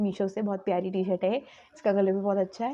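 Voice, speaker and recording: A woman talks at a moderate pace and medium pitch in monotone, flat intonation. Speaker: vlogger. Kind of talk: casual vlog narration. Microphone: new mic just arrived.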